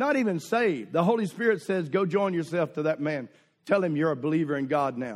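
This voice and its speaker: With a Southern US accent, a man talks at a fairly quick pace, his high pitch carrying lively intonation. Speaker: visiting preacher. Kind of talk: sermon. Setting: church with congregation. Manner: humorous, exhorting the congregation.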